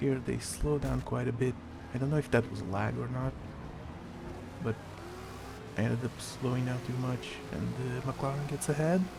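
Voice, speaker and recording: A quiet man talks at a moderate pace, with long, frequent pauses. Noticeable background noise is present. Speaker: gaming YouTuber. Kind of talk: gameplay commentary.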